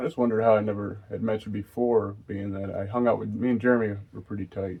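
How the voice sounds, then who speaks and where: Soft-spoken and fairly low in pitch, a man talks at a fairly quick pace with fairly even intonation. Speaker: partner of host. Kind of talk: casual chat.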